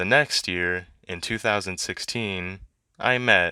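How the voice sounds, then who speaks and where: A man with a very deep, low pitch and a bright, sharp tone speaks at a fairly slow pace. The sound is dry and close with no echo, in a very clean recording with a silent background. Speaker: YouTuber. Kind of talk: vlog monologue.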